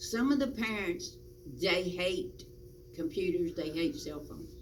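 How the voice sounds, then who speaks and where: Speaking fairly slowly with a Virginia accent, a woman shows big swings in loudness amid noticeable background noise and audible room echo. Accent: rural Southern US (Virginia). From US South, rural Virginia (Patrick County). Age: 70s. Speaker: interviewee, local volunteer. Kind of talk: oral history interview.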